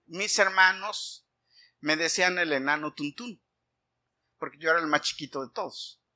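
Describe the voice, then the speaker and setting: A man's raised, projected voice with a bright, sharp tone at a moderate pace. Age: 50s. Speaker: pastor. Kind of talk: sermon.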